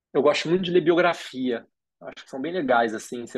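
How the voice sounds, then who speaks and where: The man talks at a very fast pace with ordinary pitch variation. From Rio de Janeiro, Brazil. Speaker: design school co-founder. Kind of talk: interview conversation. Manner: hesitant, many fillers.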